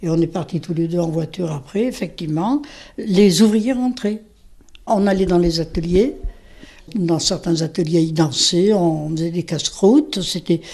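A woman speaks at a fairly slow pace in a dark, mellow tone, her pitch fairly low with ordinary variation. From France, Auvergne (Saint-Saturnin near Clermont-Ferrand). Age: 80s+. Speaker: retired factory worker. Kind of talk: interview testimony. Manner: conversational, hesitant.

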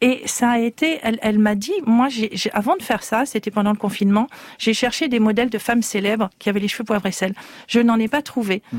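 The sound is dry and close with no echo as a woman with an unremarkable speaking voice talks at a fairly quick pace, her fairly high pitch moving with ordinary variation. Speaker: beauty magazine editor. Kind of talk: radio panel discussion.

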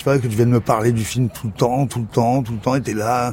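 He has a normal speaking voice, pitched at medium. This man's intonation stays fairly even as he moves at a fairly quick pace. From Morocco. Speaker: filmmaker and actor. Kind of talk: casual chat. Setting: apartment at home.

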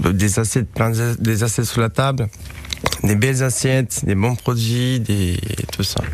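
A man with a Romanian accent speaks fairly slowly, with long, frequent pauses and very even loudness. Noticeable background noise is present. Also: medium pitch for a man. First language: Romanian (speaking French). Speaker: chef. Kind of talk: radio interview. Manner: halting.

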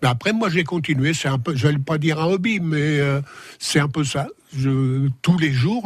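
A man's fairly high, somewhat breathy voice at a fairly slow pace. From Sens, Burgundy, France. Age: 80s+. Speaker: guest, retired author of memoir. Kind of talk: radio interview. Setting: studio.

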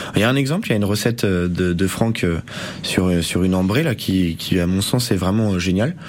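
With noticeable background noise behind him, a man with a very deep, low pitch speaks at a fairly quick pace, his loudness very even and his pitch variation ordinary. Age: 20s. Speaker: bar owner. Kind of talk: radio interview. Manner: halting.

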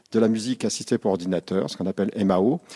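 A man speaks with a dark, mellow tone. The background is quiet, and the sound is dry and close with no echo. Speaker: conservatoire director. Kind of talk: interview on location. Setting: indoors in a conservatoire.

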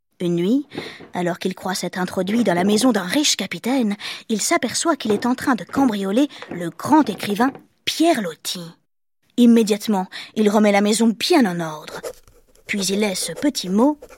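A somewhat breathy woman of medium pitch talks at a moderate pace with lively intonation and long, frequent pauses, in a dry, close sound with no echo. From Marseille, southern France. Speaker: podcast storyteller. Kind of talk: scripted narration. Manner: animated.

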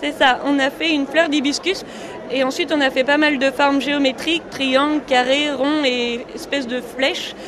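Over crowd noise in the background, a woman speaks at a high pitch and moderate pace with monotone, flat intonation. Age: young. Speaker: designer and inventor. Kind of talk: radio interview.

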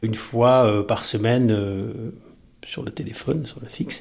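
A man is speaking. His pace is very slow. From southern France coast. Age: 50s. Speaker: teacher. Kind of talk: personal testimony.

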